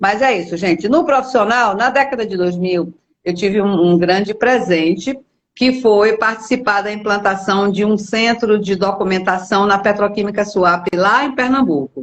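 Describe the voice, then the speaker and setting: A woman speaks at medium pitch with ordinary pitch variation and a moderate pace. It is an ordinary speaking voice. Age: 60s. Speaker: company executive, documentation center specialist. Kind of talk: live interview. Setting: video call livestream.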